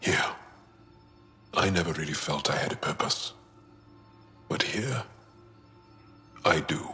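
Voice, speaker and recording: Faint music plays in the background as a man in a put-on character voice speaks at a moderate pace with a very deep, low pitch. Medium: machinima. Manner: earnest, emotionally open.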